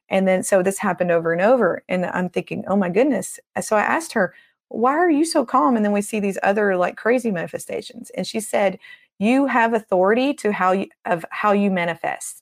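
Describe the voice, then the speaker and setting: Speaking quite quickly with lively intonation, a woman with a Southern US accent uses a medium-pitched voice on a very clean recording with a silent background. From Tennessee. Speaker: deliverance minister. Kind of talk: interview. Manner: animated.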